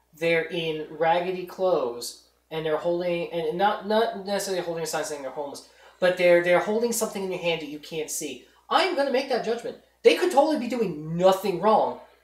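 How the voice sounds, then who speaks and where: This woman's voice sits fairly low in pitch and moves at a fairly quick pace. Her intonation is lively, and her loudness swings widely. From New York, Long Island. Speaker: podcast host. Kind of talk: casual chat.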